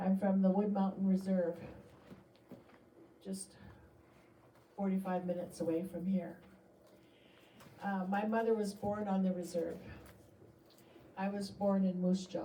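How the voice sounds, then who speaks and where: With a Canadian accent and audible room echo, a woman speaks at a medium pitch and fairly slow pace in a monotone, flat intonation, leaving long, frequent pauses. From British Columbia, Canada. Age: 60s. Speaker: artist. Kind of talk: artist talk to an audience. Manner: casual, with fillers.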